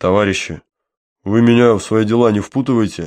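A man puts on a character voice at a medium pitch. He talks at a fairly quick pace with fairly even intonation.

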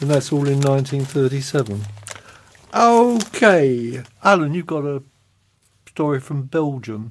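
With very slow delivery and long, frequent pauses, a man speaks in a fairly high pitch with lively intonation. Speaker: magazine host. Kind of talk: casual chat, magazine presenting.

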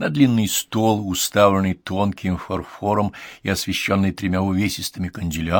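Plain reading aloud comes with intonation that is fairly even.

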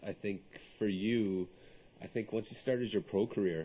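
A normal speaking voice, a man with a fairly low pitch. His intonation stays fairly even at a moderate pace. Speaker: podcast host. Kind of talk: interview. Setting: studio.

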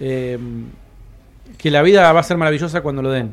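Here a man with a fairly high pitch uses a normal speaking voice and ordinary pitch variation. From Argentina, Patagonia (Cipolletti). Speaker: comedy producer. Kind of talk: panel discussion. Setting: stage with live audience.

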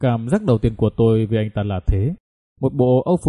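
Lively intonation in an unforced reading voice, quiet in the background

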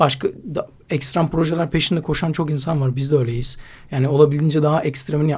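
Speaking very fast, a man uses a fairly high pitch and fairly even intonation. His voice is somewhat breathy. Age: 20s. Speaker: slackline athlete and climber. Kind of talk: casual interview.

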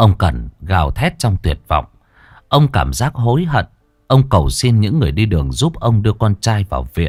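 A natural voice reading aloud

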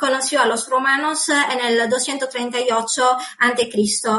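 With an Italian accent, a woman speaks at a high pitch. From Sardinia, Italy. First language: Sardinian/Italian (speaking Spanish). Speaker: author. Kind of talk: interview. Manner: halting.

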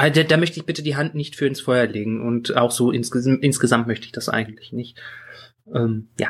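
A man speaks in a medium pitch at a fairly quick pace. His voice is somewhat breathy, with ordinary pitch variation. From Bergisches Land, Germany. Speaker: podcast co-host. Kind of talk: casual chat.

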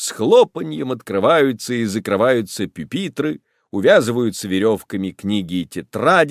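Lively intonation in an unforced reading voice, quiet background behind it

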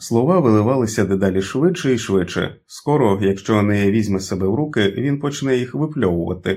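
With lively intonation, the speaker reads in an unforced reading voice.

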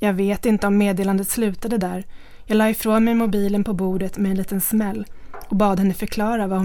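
Intonation remains fairly even. The delivery is an unforced reading voice.

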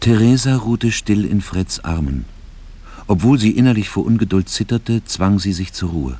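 Speaking at a moderate pace, a man with a fairly low pitch and a dark, mellow tone uses lively intonation.

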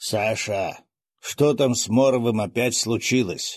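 A man's put-on character voice, raspy and medium-pitched, at a fairly slow pace. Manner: tired, quiet.

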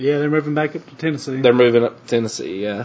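A man with a Southern US accent, over noticeable background noise. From US South, North Alabama. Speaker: podcast host. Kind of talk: casual interview chat.

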